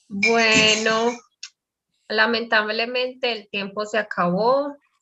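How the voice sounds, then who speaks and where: Very slowly, a woman talks with a Spanish accent. Her tone is bright and sharp, her intonation fairly even. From Colombia. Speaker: Spanish teacher. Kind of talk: online language class.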